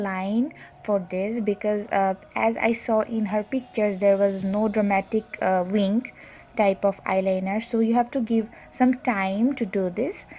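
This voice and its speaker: Speaking in a Bangladeshi accent, a woman talks at a fairly slow pace with a fairly high pitch. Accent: non-native Bangladeshi English. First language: Bengali. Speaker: makeup artist and beauty vlogger. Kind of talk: tutorial. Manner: hesitant with many fillers.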